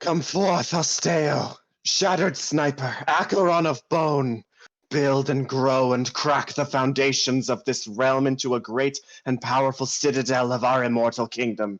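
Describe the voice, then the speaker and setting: A man does a put-on character voice at a medium pitch and moderate pace. His loudness stays very even, with ordinary pitch variation. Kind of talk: grand, incantatory. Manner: spooky, ominous.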